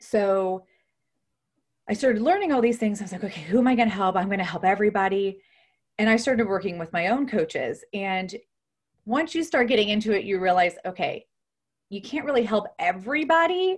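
A woman with an American accent talks at a fairly quick pace and a fairly high pitch, somewhat breathy, with lively intonation and long, frequent pauses. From Ohio, US Midwest. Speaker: nurse and health coach. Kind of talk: interview.

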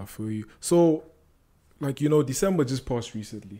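Lively intonation and a dark, mellow tone mark this man's voice as he speaks at a moderate pace. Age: 20s. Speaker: podcast host. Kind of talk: casual interview.

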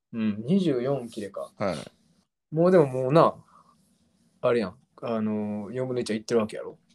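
With a Kansai accent, a man at a medium pitch speaks at a fairly quick pace, using lively intonation, big swings in loudness, and long, frequent pauses. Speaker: podcast host. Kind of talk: casual chat.

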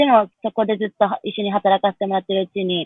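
In a normal speaking voice, the speaker moves at a fairly quick pace. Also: woman. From Japan. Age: 20s. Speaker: professional tap dancer. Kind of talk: casual chat.

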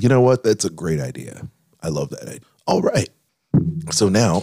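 A man's put-on character voice, raspy and fairly low-pitched, with very wide pitch swings at a moderate pace

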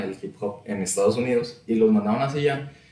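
A man at a moderate pace with ordinary pitch variation, plus noticeable background noise and audible room echo. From Saltillo, northern Mexico. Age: 20s. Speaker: podcaster and rap enthusiast. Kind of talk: casual chat.

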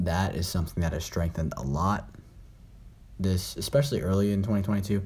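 In a very deep, low voice, a man talks at a fairly quick pace with ordinary pitch variation and long, frequent pauses, with audible room echo around him. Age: young. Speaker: podcast host. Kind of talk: casual solo chat. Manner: halting.

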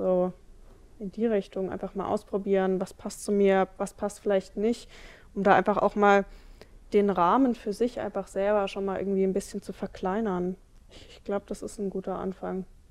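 On a very clean recording with a silent background, a woman speaks at medium pitch and moderate pace. Her intonation is monotone and flat, broken by long, frequent pauses. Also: big swings in loudness. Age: 20s. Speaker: trainee youth worker. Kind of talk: interview.

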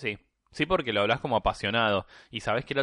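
In a Rioplatense accent, the speaker goes very fast, the sound dry and close with no echo and the background quiet. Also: man. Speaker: podcast guest. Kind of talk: casual chat. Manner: halting, many fillers.

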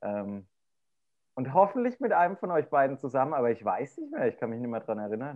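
A man with an unremarkable speaking voice and medium pitch speaks at a fairly quick pace with lively intonation. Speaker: podcast co-host with an office job. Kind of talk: casual chat. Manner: chatty, humorous.

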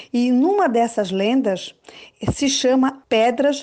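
A woman is speaking. Her voice sits high in pitch. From Florianópolis, southern Brazil. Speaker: schoolteacher. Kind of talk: storytelling. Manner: animated.

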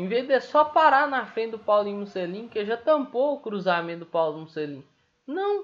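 Talking at a moderate pace, this man lets his pitch swing very widely. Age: 20s. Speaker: football fan podcaster. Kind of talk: casual solo commentary. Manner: animated.

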